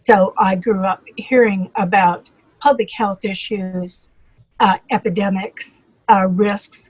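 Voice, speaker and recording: A woman with an American accent speaks very slowly at medium pitch, somewhat breathy and fairly even in intonation, in a dry, close sound with no echo. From US Midwest, North Dakota. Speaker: physician. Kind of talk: interview. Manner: halting.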